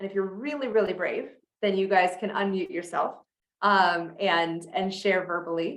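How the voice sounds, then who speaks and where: A woman's plain, everyday voice at a medium pitch, with fairly even intonation. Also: moderate pace. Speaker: sales coach. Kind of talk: online masterclass.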